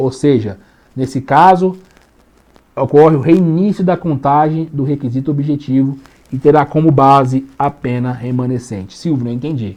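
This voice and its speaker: A man with a Brazilian accent talks at a moderate pace, his fairly high pitch showing ordinary pitch variation. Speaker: law teacher. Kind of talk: lecture. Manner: casual, colloquial.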